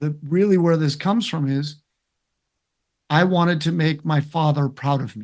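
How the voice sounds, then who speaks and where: Against a quiet background, a man talks at a moderate pace with a fairly high pitch, ordinary pitch variation, and long, frequent pauses. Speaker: interventional cardiologist. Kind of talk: interview. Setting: webinar video call. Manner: loud.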